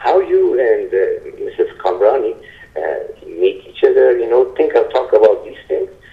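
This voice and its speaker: Extremely high-pitched male voice at a moderate pace, monotone and flat, with noticeable background noise. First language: not English. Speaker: caller. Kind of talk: call-in question. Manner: halting.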